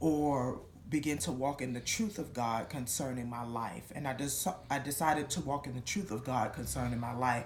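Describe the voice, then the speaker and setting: A woman's very deep, low-pitched voice with audible room echo. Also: ordinary pitch variation, moderate pace. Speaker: church member giving testimony. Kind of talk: testimony.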